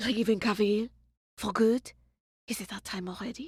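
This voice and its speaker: A raspy, female-sounding put-on character voice comes through at a fairly high pitch and a moderate pace. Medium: stage play. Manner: dry, sneering.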